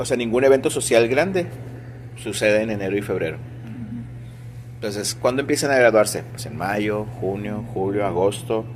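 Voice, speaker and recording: A man's medium-pitched voice at a moderate pace, with ordinary pitch variation, long, frequent pauses and noticeable background noise. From Sinaloa, Mexico. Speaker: music teacher. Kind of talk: interview. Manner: conversational.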